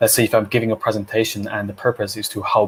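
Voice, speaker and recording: With a non-native accent, a man speaks in a monotone, flat way at a fairly low pitch. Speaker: public speaking coach, co-host. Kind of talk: casual live Q&A discussion. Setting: Facebook live video stream.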